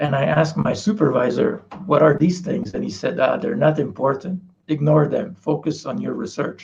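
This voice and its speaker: With a Quebec accent, a man speaks at a fairly high pitch with lively intonation and vocal fry. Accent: French Canadian accent in English. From Quebec, Canada. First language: French. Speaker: parasitologist professor. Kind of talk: interview.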